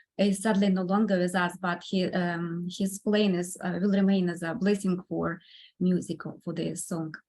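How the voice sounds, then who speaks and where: A woman with a Russian accent, medium pitch, a somewhat breathy sound and monotone, flat intonation. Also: moderate pace. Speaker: composer and pianist. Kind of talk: podcast interview. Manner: halting, many fillers.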